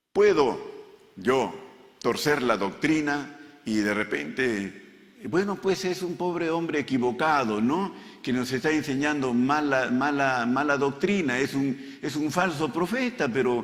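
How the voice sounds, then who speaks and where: Speaking fairly slowly with a fairly high pitch and lively intonation, a man is heard amid noticeable background noise and audible room echo. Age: 70s. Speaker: pastor. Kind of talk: sermon.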